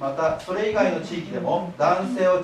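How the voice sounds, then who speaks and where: A man speaks at a fairly slow pace with a high pitch and ordinary pitch variation. Audible room echo and light background noise surround him. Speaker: library director. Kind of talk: public lecture. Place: hall. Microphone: camera far.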